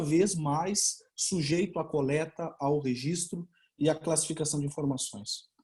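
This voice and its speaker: The tone is dark and mellow, with ordinary pitch variation. The pace is fairly slow, in a Portuguese accent. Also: man. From Brazil. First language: Portuguese (speaking Spanish). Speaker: law researcher, doctoral candidate. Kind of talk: conference talk. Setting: online webinar.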